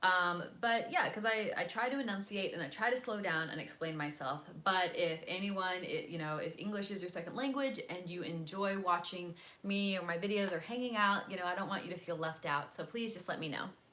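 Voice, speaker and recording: Over noticeable background noise and audible room echo, a woman with an American accent speaks fairly quickly in an animated tone, her medium pitch showing ordinary variation. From US South, North Carolina. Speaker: vlogger. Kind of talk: casual livestream chat. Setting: selfie-stick video at home.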